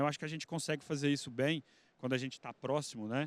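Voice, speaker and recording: A man at a medium pitch speaks with a rural Minas Gerais accent and fairly even intonation. The sound is dry and close with no echo, on a very clean recording with a silent background. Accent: rural Minas Gerais accent with retroflex R. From Uberaba, Minas Gerais, Brazil. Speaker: investment fund executive. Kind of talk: panel discussion.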